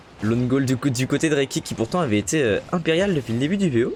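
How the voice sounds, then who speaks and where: A man speaks at a moderate pace with lively intonation, music playing in the background. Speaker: esports caster and streamer. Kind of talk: live commentary. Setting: live stream. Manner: animated.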